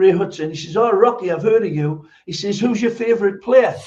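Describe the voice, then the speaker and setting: A man speaks with a Geordie accent. His pitch variation is ordinary. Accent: Geordie, Newcastle. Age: 70s. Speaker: former footballer, football pundit. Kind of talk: podcast interview.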